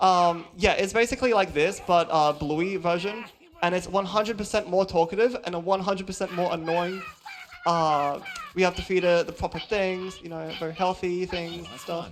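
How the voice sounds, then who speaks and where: Someone with an Australian accent speaks at a moderate pace against noticeable background noise. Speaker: speedrunner. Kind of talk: live speedrun commentary. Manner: casual, hesitant with many ums.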